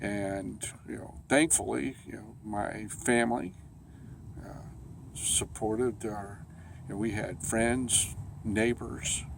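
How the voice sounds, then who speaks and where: With vocal fry and ordinary pitch variation, a man talks at a fairly slow pace. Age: 50s. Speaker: cancer survivor. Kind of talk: personal testimony. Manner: halting, many fillers.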